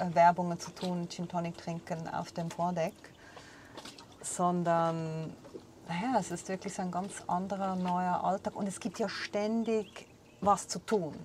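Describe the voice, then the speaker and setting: A woman's monotone, flat, somewhat breathy delivery at a fairly slow pace and fairly low pitch. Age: 40s. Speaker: podcast host, former radio correspondent. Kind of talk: casual chat. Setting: on a sailboat.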